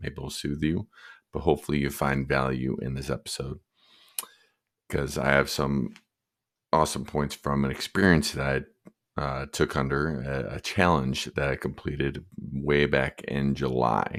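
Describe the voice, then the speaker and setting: A man with an American accent talks at a moderate pace in a very deep, low pitch, his delivery monotone and flat with vocal fry. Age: 40s. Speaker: podcast host. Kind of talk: solo podcast monologue. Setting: home at night, others asleep. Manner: softer than normal.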